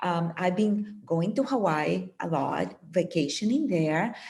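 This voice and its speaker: With a non-native accent, a woman speaks very slowly at a medium pitch, somewhat breathy, with lively intonation. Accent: foreign accent, persistent. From Puerto Rico. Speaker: meditation teacher and author. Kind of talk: interview.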